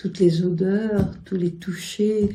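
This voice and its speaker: This woman's voice sits at a medium pitch with a dark, mellow tone. It is somewhat breathy. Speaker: poet and writer. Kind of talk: interview answer. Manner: gentle, gracious.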